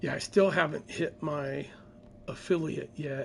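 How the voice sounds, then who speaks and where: The speech is quiet and moves at a fairly slow pace. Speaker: gaming streamer. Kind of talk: casual chat. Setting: at home.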